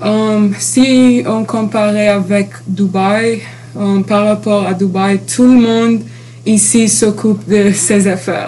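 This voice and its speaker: A woman of medium pitch at a very slow pace, with fairly even intonation and noticeable background noise. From Dubai. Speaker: university student. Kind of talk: interview. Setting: university campus. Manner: halting.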